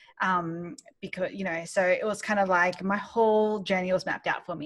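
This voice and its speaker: Using an Australian accent, a woman talks at a fairly quick pace. Her pitch is medium with ordinary variation. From Australia, Sydney. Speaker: business founder and mentor. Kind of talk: interview. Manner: hesitant, many fillers.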